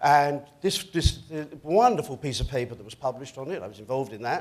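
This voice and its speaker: Speaking at a very fast pace, a man with an American accent makes very wide pitch swings. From United States. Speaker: hotel company chief executive. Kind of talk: panel discussion. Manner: animated.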